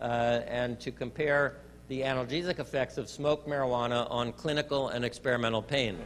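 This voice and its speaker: A man at a fairly quick pace, medium in pitch, with fairly even intonation and a normal speaking voice. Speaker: medical researcher. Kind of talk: lecture presentation.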